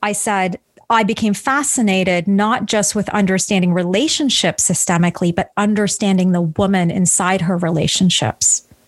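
A woman's normal speaking voice, medium in pitch with ordinary variation, at a moderate pace with hardly any pauses. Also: very even loudness. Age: 40s. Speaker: relationship coach. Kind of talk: interview.

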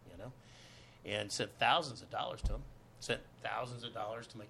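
A man talks fairly fast with an American accent. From Los Angeles, US. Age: 50s. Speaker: actor. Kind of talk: casual chat. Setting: studio.

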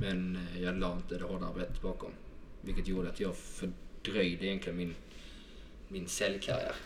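Speaking in a Scanian accent, a man uses a very deep, low pitch and a flat monotone at a moderate pace, with long, frequent pauses. Background noise is noticeable, and the room echo is audible. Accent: southern Swedish (Skåne). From southern Sweden, Helsingborg (Skåne). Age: 20s. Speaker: sales manager. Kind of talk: podcast interview.

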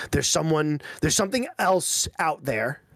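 On a very clean recording with a silent background, a man speaks at a fairly quick pace. His is a normal speaking voice, fairly high, with lively intonation. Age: 30s. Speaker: podcast co-host. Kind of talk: casual chat.

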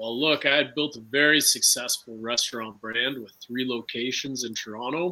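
A man speaks in a plain, everyday voice at medium pitch, at a moderate pace, with fairly even intonation and hardly any pauses. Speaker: defendant restaurant owner.

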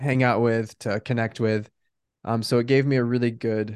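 A man with an American accent, medium pitch, fairly even intonation and a moderate pace, in a quiet background. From US Pacific Northwest (Bend, Oregon). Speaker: life coach. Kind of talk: interview.

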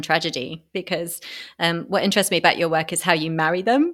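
Talking at a very fast pace with lively intonation, a woman with a British accent and a fairly low pitch is heard on a very clean recording with a silent background. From Britain. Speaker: podcast host. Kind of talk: interview.

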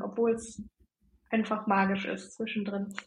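This woman's voice sounds somewhat breathy. She speaks at a fairly slow pace. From northern Germany, near Bremen. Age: 30s. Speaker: human design coach. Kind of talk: interview.

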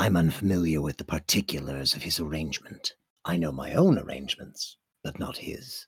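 Putting on a character voice, a man speaks at a very deep, low pitch and a fairly quick pace. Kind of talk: formal, archaic-leaning speech. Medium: actual play. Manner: formal, measured, reserved.

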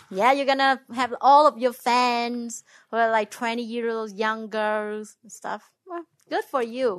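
A woman with a Vietnamese accent talks at a fairly slow pace and a fairly high pitch, her intonation fairly even but her loudness swinging widely, against a quiet background. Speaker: host's ex-wife. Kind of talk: casual chat. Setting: home recording in a bedroom. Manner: put-on radio voice.

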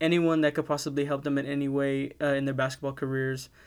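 A man with a fairly high pitch and an American accent, talking very fast in a flat monotone, on a very clean recording with a silent background. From South Texas. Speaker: podcast host. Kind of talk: solo sports podcast commentary. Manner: casual, frequent fillers.

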